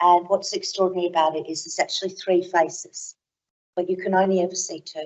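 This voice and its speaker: The speech moves at a fairly quick pace. Its intonation stays monotone and flat. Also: woman. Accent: Australian. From Australia. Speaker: academic keynote speaker. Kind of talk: conference keynote talk.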